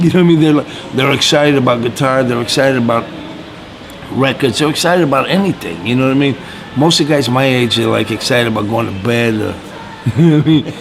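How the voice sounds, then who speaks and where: A man's medium-pitched voice at a very fast pace, with long, frequent pauses, over noticeable background noise. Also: ordinary pitch variation. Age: 60s. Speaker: blues guitarist. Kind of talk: interview. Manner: casual, halting.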